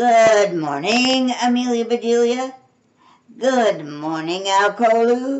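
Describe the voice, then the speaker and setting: Putting on a character voice, a woman speaks at a fairly high pitch and fairly slow pace with lively intonation. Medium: read story. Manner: polite, matter-of-fact.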